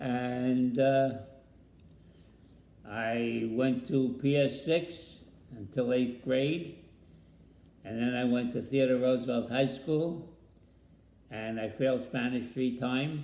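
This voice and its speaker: A man with a New York accent speaks at a very slow pace, with long, frequent pauses and fairly even intonation. His tone is dark and mellow at a medium pitch, and the room echo is audible. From New York City, the Bronx. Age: 80s+. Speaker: grandfather interviewed about family history. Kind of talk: family interview.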